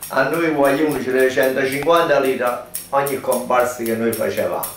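A man speaks at a very slow pace with fairly even intonation. Audible room echo and light background noise surround him. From Campania. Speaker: former film extra; witness. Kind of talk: interview. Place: shop.

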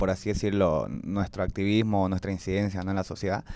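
A man with a fairly low pitch speaks in a dry sound with no echo. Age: 20s. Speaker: youth activist; podcast guest. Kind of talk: personal testimony in panel chat. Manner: hesitant, many fillers. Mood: earnest, reflective. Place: studio. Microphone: handheld.

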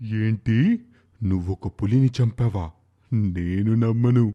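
In a cartoonish character voice, a man speaks at a medium pitch and a very slow pace. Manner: gloating, sly.

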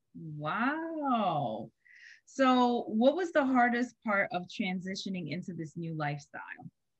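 A woman talks at a medium pitch and a very slow pace, her voice somewhat breathy, with very wide pitch swings and big swings in loudness. The sound is dry with no echo against a quiet background. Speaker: podcast host. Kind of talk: podcast interview host. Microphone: webcam.

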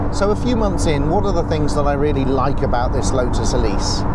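A man talks at a moderate pace over loud background noise, the sound dry with no echo. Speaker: car reviewer. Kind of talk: car review commentary. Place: car. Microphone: lapel.

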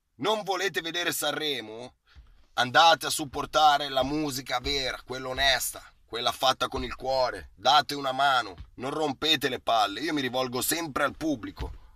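Bright, sharp tone from a man with fairly high pitch, ordinary pitch variation and a moderate pace

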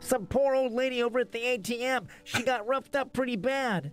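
A man uses a put-on character voice that is nasal and extremely high-pitched. He speaks at a moderate pace with faint music in the background. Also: fairly even intonation.

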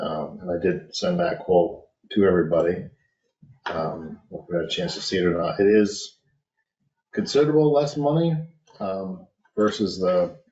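A man at a moderate pace with long, frequent pauses, in a quiet background with audible room echo. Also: fairly low pitch for a man. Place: office. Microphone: webcam.

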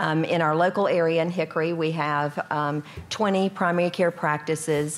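A woman speaks in a very deep, low voice. She goes at a fairly quick pace with monotone, flat intonation. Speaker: health organization executive. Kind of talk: panel discussion. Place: hall. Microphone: podium.

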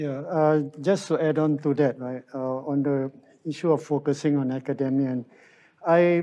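At a moderate pace, a man with a fairly high pitch and a dark, mellow tone speaks with ordinary pitch variation. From Singapore. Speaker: political candidate, researcher; candidate. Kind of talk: online political rally panel discussion. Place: studio. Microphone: lapel.

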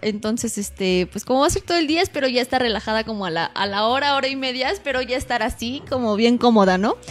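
The speaker moves at a very fast pace with lively intonation. Noticeable background noise is present. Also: woman, high pitch for a woman, hardly any pauses. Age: 20s. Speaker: radio announcer and model. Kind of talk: casual interview.

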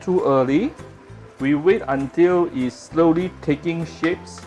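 A fairly slow pace over faint background music. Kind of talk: cooking tutorial. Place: kitchen. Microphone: phone near.

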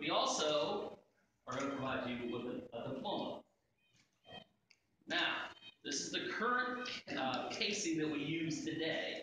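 Strong room echo and noticeable background noise surround a man with a fairly high pitch. His pitch swings very wide and he takes long, frequent pauses. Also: fairly slow pace. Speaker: school superintendent. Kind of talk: ceremonial presentation speech. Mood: warm, respectful. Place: hall. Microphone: camera far.

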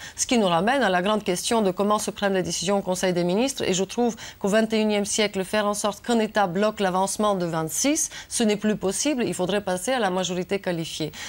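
A woman talks at a fairly quick pace with ordinary pitch variation and hardly any pauses. Her loudness stays very even. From Bulgaria. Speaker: member of European Parliament; guest. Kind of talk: TV interview. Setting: studio. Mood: serious, argumentative. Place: studio.

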